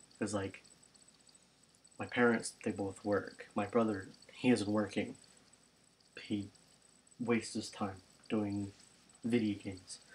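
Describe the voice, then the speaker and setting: Soft-spoken and somewhat breathy, a man talks at a fairly slow pace and a fairly low pitch in a monotone, flat intonation, with long, frequent pauses. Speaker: youtuber. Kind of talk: casual vlog monologue. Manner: rambling with fillers.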